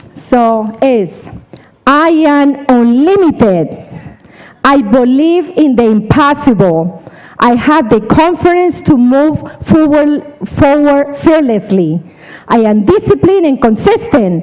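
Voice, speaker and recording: A woman with a Colombian accent speaks very slowly at a high pitch, her pitch swinging very widely. Her loudness stays very even over noticeable background noise. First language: Spanish. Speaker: seminar speaker, insurance business. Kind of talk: motivational talk. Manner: animated.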